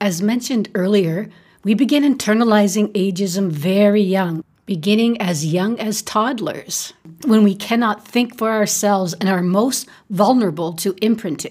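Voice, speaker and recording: Somewhat breathy, this woman's voice sits at a medium pitch, moving at a moderate pace with ordinary pitch variation. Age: 50s. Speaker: podcast host. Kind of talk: solo podcast monologue. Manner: animated.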